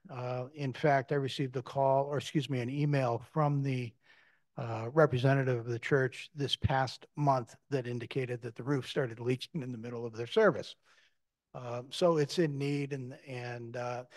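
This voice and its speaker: A man's speech moves at a moderate pace, his intonation fairly even, with a quiet background behind him. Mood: calm, measured. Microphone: video call.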